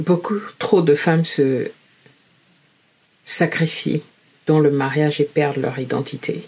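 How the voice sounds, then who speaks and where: A woman speaks very slowly at a very deep, low pitch with ordinary pitch variation. Her voice is somewhat breathy, and she leaves long, frequent pauses. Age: 50s. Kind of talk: personal testimony to camera.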